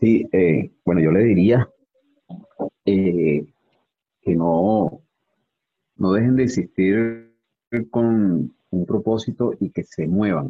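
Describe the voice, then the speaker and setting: With a Venezuelan accent, a man speaks at a very slow pace with long, frequent pauses, his fairly low pitch showing ordinary pitch variation. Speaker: personal trainer. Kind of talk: casual interview.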